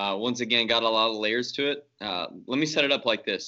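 Here a man speaks in a Southern US accent at a medium pitch. His pace is moderate and his intonation fairly even. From North Louisiana (Shreveport). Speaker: pastor. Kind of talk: interview conversation.

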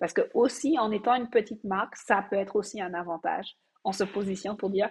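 A somewhat breathy woman's voice at medium pitch, fairly quick in pace, with ordinary pitch variation. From Martinique. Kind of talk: interview. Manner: halting.

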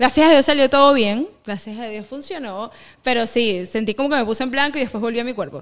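Speaking fairly quickly with a Venezuelan accent, a woman uses a high pitch with ordinary variation and big swings in loudness. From Venezuela (east, raised in Caracas). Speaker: singer. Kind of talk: casual interview. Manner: halting, many fillers.

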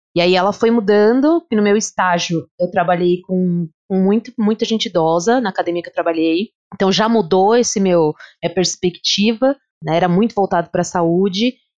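A woman talks at a moderate pace in a medium pitch, with ordinary pitch variation. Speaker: physical education teacher. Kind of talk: casual chat. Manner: animated.

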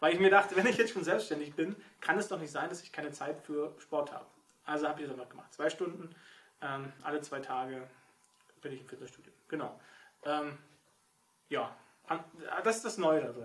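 Using a fairly high pitch and ordinary pitch variation, a man speaks with big swings in loudness and long, frequent pauses. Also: moderate pace. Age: 40s. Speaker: novelist. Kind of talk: casual chat.

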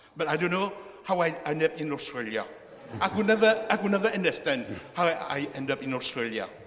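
Over noticeable background noise, a man speaks at a fairly quick pace in a high pitch with lively intonation. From Mauritius. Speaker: church member. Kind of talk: testimony. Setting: church.

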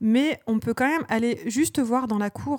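A woman speaks at a moderate pace with ordinary pitch variation in a very clean recording with a silent background. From Normandy, France (Rouen). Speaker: podcast co-host, librarian and parent. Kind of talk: casual chat.

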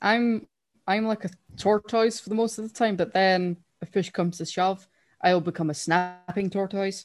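Her voice sits at a medium pitch as the woman talks at a moderate pace. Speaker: podcast co-host. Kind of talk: casual chat. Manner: animated.

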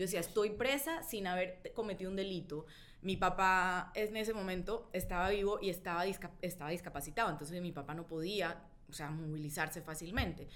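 With a Colombian accent, a woman speaks at a fairly quick pace and medium pitch, her pitch varying in an ordinary way, amid audible room echo. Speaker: journalist and writer. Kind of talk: casual chat about a book.

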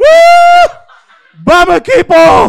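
A man is speaking. His pitch swings very widely. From Cádiz, Spain. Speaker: audience member. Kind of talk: storytelling. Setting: stage with audience.

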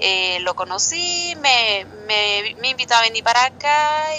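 This woman has an ordinary speaking voice with a fairly high pitch. Her intonation is lively. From Mexicali, Baja California, Mexico. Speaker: Mexican immigrant community volunteer. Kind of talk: interview.

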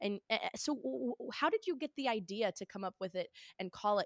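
A woman's fairly high voice moves through very wide pitch swings, recorded very cleanly against a silent background with a dry, close sound and no echo. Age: young. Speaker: political podcast host. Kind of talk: casual interview chat.

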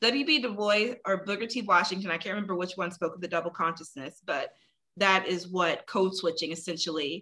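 The speaker is a woman with a medium-pitched voice. Her tone is bright and sharp. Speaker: guest sharing personal experiences. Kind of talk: casual chat. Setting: video call.

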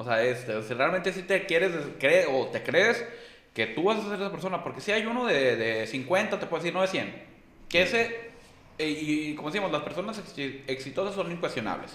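With noticeable background noise and audible room echo, a man with a high pitch talks at a moderate pace in very wide pitch swings. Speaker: insurance manager. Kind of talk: casual chat.

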